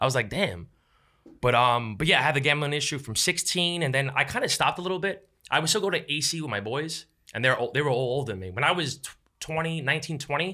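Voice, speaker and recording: In a New York accent, a man talks very fast at a fairly high pitch, his bright, sharp tone and lively intonation captured on a very clean recording with a silent background. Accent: New York City. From New York City, Lower East Side. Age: 30s. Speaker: content creator. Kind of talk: casual chat. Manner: animated.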